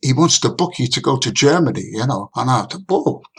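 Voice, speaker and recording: A man speaks in a Liverpool accent at a fairly quick pace. There is vocal fry in his voice. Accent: Liverpool (Scouse) English. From northern England, Liverpool. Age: 80s+. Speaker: saxophonist. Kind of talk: interview storytelling.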